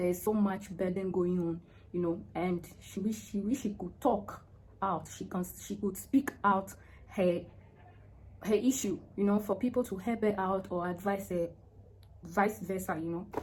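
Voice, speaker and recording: Pausing long and often, a woman speaks at a medium pitch. Her voice is somewhat breathy, her intonation fairly even. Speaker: vlogger giving relationship advice to women. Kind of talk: casual vlog monologue. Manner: slow, naturally; hesitant, with many fillers.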